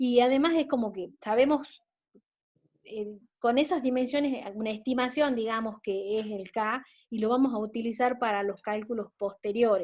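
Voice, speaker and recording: A woman talks at a moderate pace. Her voice is fairly high, with ordinary pitch variation. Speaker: teacher. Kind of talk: lecture. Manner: halting.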